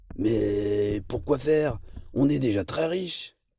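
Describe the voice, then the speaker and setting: Using a put-on character voice, a man sounds raspy at medium pitch and keeps a fairly slow pace. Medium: read story. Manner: yelping.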